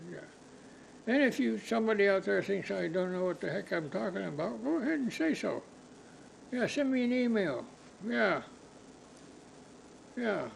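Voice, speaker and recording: A man speaks at a high pitch with very wide pitch swings, leaving long, frequent pauses. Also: moderate pace. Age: 80s+. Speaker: podcast host. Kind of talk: casual monologue. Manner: halting.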